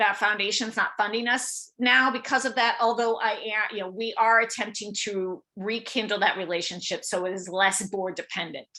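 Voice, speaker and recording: Bright and sharp in tone, a woman's voice sits at a fairly high pitch with fairly even intonation. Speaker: fundraising coach. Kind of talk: online workshop. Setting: video call. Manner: fast.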